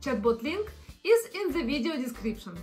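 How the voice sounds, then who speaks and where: A woman's high-pitched, raised and projected voice with a non-native accent and very wide pitch swings, faint music in the background. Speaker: content creator. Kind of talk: casual explainer talk to camera. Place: home room.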